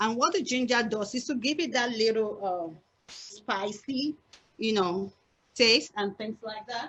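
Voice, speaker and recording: Speaking at a moderate pace with an Nigerian accent, a woman uses a high pitch and lively intonation. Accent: Nigerian (Yoruba) English. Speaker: cooking instructor. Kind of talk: cooking class demonstration.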